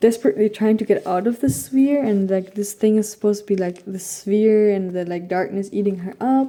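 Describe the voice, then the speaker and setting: A woman speaks at a medium pitch with fairly even intonation. Her tone is dark and mellow. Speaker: art YouTuber. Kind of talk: casual vlog narration. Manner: casual, filler-heavy.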